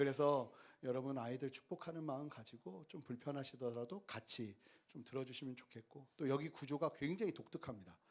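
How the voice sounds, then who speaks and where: A man is speaking. His pace is moderate. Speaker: pastor. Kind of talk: sermon. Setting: small theater used as church, with audience. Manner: speeds up when children are loud.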